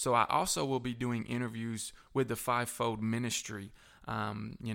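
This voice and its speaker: In a Southern US accent, the speaker talks at a moderate pace. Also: man. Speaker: pastor and recovery ministry director. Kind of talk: testimony.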